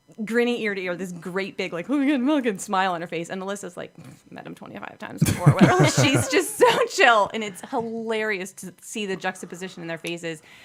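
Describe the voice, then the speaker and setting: A woman at a medium pitch, very fast and with hardly any pauses, lively intonation, big swings in loudness and noticeable background noise. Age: 40s. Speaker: charity worker. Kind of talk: casual chat. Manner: animated.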